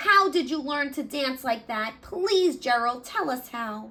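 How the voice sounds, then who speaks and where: Using a put-on character voice, a woman speaks with a high pitch at a fairly slow pace. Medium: read story.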